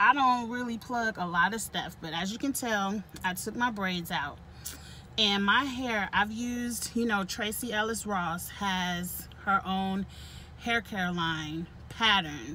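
Very slow speech with a dry sound, no echo, and light background noise. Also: woman, ordinary pitch variation. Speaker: vlogger. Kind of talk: casual vlog chat. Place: car. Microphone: phone near.

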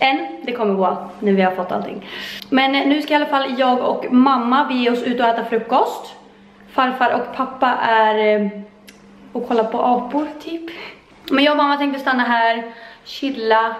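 Over audible room echo, a woman speaks at a moderate pace in a high pitch with ordinary variation. She takes long, frequent pauses. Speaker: vlogger. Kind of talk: casual vlog chat. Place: home room. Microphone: phone near.

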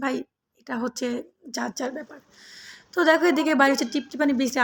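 A woman speaks with fairly even intonation. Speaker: vlogger. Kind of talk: casual vlog narration.

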